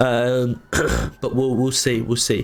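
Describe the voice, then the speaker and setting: Over noticeable background noise, a man with an English accent speaks at a moderate pace. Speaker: streamer, gamer. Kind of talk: casual live stream chat.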